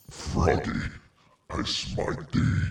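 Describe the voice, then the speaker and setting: A man uses a put-on character voice. It is growling and very deep, with a low pitch. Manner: bombastic.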